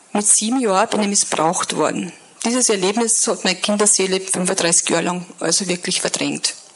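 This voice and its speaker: Over noticeable background noise, a woman with a strong Upper Austrian accent talks at a medium pitch and a moderate pace, with fairly even intonation and very even loudness. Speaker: guest speaker sharing life story. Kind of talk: testimony. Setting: church service stage with audience.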